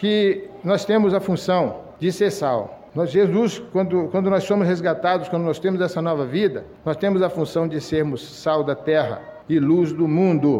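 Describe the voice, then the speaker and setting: A man with a high pitch talks at a fairly slow pace with ordinary pitch variation. Audible room echo and noticeable background noise fill the recording. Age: 60s. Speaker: lay preacher. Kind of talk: sermon. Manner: halting.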